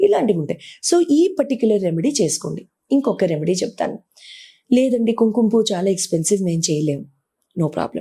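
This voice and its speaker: In a non-native accent, a somewhat breathy voice with a dark, mellow tone moves through very wide pitch swings. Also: woman, medium pitch for a woman. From grew up partly outside Telugu states, moved there at 14. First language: not Telugu (speaking Telugu). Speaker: astrologer and numerologist. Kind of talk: interview advice talk.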